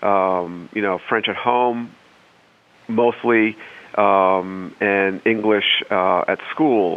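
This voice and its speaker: A man speaks at a very slow pace. His pitch is fairly low and his intonation fairly even. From northern Maine, Saint John Valley. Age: 50s. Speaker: civil servant. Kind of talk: testimony. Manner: halting.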